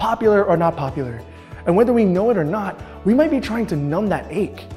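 Faint music sits in the background as a man speaks at a fairly quick pace. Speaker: presenter. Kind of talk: casual talk to camera, scripted youth message. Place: classroom. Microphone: lapel.

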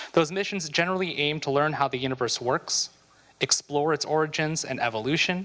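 A man speaks in a bright, sharp tone at a fairly quick pace with ordinary pitch variation. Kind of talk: reading meeting minutes. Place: hall. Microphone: handheld.

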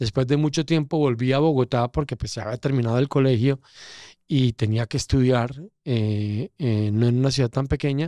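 Dark and mellow in tone, a man talks at a moderate pace with fairly even intonation, the background quiet and the sound dry with no echo. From Colombia, coffee region (Pereira); Colombia. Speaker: casting director, former journalist; former journalist. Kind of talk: interview conversation. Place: studio. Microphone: studio mic.

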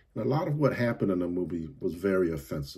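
Against a quiet background, a man with a very deep, low pitch and a dark, mellow tone sounds somewhat breathy, with lively intonation. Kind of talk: movie review commentary. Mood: critical, somewhat annoyed. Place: home room. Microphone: phone near.

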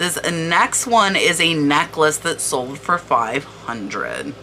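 Noticeable background noise sits behind a woman whose pitch makes very wide swings. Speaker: online reseller and video creator. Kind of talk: tutorial-style product research walkthrough. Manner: animated.

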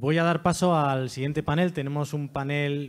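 A man's normal speaking voice, fairly high in pitch, at a moderate pace. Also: quiet background. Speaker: event presenter and foundation director; presenter. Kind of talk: event presentation. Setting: stage with audience. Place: hall. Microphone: handheld.

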